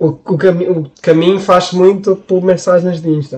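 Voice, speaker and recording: A man's voice sits at a high pitch with a dark, mellow tone. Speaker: podcast co-host. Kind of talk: casual chat.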